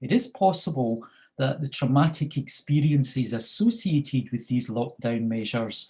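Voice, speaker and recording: In a Scottish accent, a man speaks fairly slowly at medium pitch, his voice somewhat breathy with a dark, mellow tone. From Scotland. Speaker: researcher on youth crime and addiction. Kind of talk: panel presentation. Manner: halting, many fillers.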